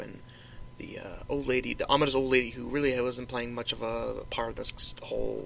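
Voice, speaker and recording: A man mumbles at a moderate pace against noticeable background noise. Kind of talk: casual solo podcast talk. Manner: rambling, mumbling.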